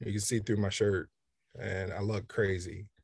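Against a quiet background, a man speaks somewhat breathily at a fairly low pitch. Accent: American. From Kansas City, Kansas, US Midwest. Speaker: photographer. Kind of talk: interview. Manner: hesitant, with fillers.

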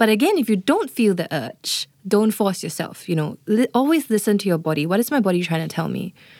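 With a normal speaking voice at medium pitch, a woman uses lively intonation at a fairly quick pace, hardly any pauses, in a dry, close sound with no echo.

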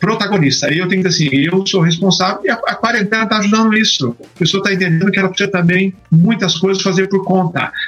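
A man with a high voice talks very fast with hardly any pauses, ordinary pitch variation and very even loudness, against noticeable background noise. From Brazil, São Paulo ABC region. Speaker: pastor. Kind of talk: interview on Bible study. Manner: dynamic.

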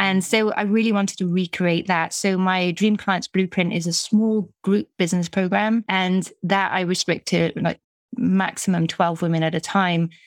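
A woman with a British accent speaks in a medium pitch with monotone, flat intonation and hardly any pauses. The sound is dry and close, with no echo. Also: moderate pace, very even loudness. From UK. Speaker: business coach. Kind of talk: casual interview chat.

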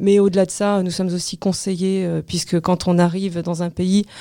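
The voice has a dark, mellow tone and a monotone, flat intonation. Its pace is moderate. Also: woman. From France. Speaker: real estate agency director. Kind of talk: interview. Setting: studio.

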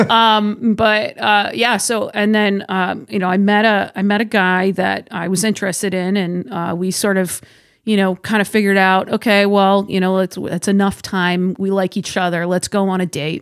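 A woman with an American accent has an ordinary speaking voice at a medium pitch, with fairly even intonation. She keeps a moderate pace with hardly any pauses, on a very clean recording with a silent background. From Massachusetts, South Shore. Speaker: firearms industry marketing director and instructor. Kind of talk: casual interview. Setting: studio.

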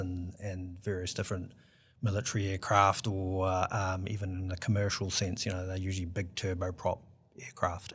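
With a New Zealand accent, a man talks at a moderate pace in a very clean recording with a silent background. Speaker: aviation engineer and startup founder. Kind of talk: interview.

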